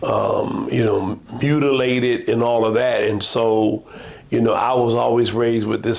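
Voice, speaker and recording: A man talks at a moderate pace with an American accent. Noticeable background noise runs behind him. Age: 70s. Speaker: pastor. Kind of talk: casual chat.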